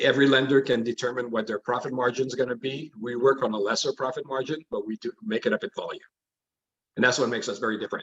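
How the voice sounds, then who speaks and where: A man at medium pitch, very fast pace and ordinary pitch variation, in a dry, close sound with no echo. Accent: French. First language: French. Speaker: mortgage lender. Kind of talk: interview.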